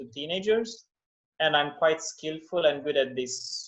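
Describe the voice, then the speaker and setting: A man speaks with a non-native accent. His voice sits fairly high. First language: not English. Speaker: English teacher. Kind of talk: interview.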